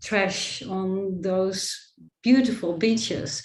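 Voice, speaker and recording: Audible room echo surrounds a woman who speaks at a very slow pace with a Dutch accent. Her pitch is medium with ordinary variation. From Netherlands. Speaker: photographer and artist. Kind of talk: presentation of her book.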